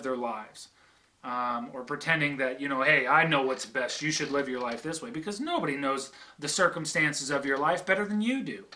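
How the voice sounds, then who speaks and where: Lively intonation marks a man's fairly quick speech, heard over noticeable background noise. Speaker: video blogger on religion. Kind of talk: casual monologue. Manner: halting, many fillers.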